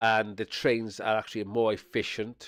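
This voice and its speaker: On a very clean recording with a silent background and a dry, close sound without echo, a man speaks in a South Welsh accent at a fairly low pitch. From Wales (Swansea area). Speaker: streamer. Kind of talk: casual chat. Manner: rambling with frequent fillers and repetitions.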